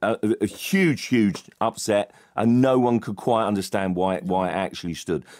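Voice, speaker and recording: Against a quiet background, a man talks in a normal speaking voice. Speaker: football journalist panellist. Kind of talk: comedic sports panel chat. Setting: radio studio. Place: studio.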